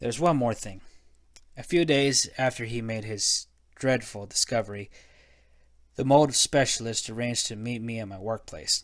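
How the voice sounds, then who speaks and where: A man speaks at a moderate pace and medium pitch, with ordinary pitch variation and big swings in loudness. He leaves long, frequent pauses, and the recording is very clean with a silent background. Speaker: amateur narrator. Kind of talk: horror story narration. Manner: dramatic.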